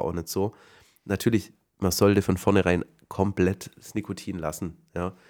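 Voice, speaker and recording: On a very clean recording with a silent background, a man with a very deep, low voice speaks at a moderate pace with fairly even intonation. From Swabia, southern Germany. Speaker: podcast host. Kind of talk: casual chat.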